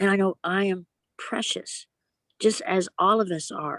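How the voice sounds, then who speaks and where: Here is a normal speaking voice with fairly even intonation at a fairly slow pace. The sound is dry and close, with no echo. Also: woman. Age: 60s. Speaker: guest sharing recovery story. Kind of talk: casual chat.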